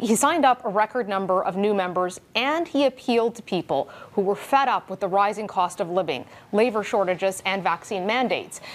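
Speaking fairly quickly in an ordinary speaking voice, a woman uses lively intonation at a medium pitch. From Canada. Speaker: TV political news host. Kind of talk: news interview. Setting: studio. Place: studio. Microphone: lapel.

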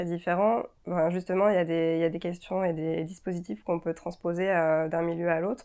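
A woman's fairly low voice carries a dark, mellow tone and a flat, monotone delivery. The background is quiet. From France, Auvergne (Clermont-Ferrand); Auvergne, France. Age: 30s. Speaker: architect. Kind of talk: interview. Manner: hesitant, many fillers. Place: office. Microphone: lapel.

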